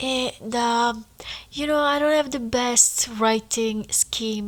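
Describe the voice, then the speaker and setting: A woman with a non-native accent, speaking very slowly. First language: not English. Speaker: podcaster writing a memoir. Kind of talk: casual monologue. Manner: animated.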